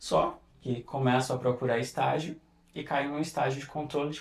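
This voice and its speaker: The man's voice is somewhat breathy and medium in pitch. He talks at a moderate pace. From interior of Pernambuco, Brazil. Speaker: perfumer. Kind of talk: podcast interview.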